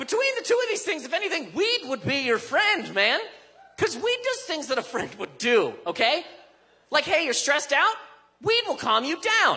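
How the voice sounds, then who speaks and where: A man speaks in a raised, projected voice at an extremely high pitch. His tone is animated, with very wide pitch swings. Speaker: stand-up comedian. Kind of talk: stand-up comedy set, delivered to a live club audience. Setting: stage with audience. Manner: punchy, conversational, animated; rapid-fire riffing with mock-outraged emphasis and character voices. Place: stage. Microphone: handheld.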